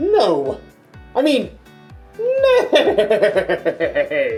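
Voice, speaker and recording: An extremely high-pitched, put-on character voice comes through with faint music in the background. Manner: comical.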